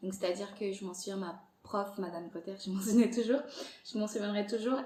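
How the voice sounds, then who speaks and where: A woman talks at a medium pitch. Audible room echo is present. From Angola. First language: Portuguese (speaking French). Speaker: podcast creator. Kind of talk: interview conversation. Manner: hesitant, many fillers.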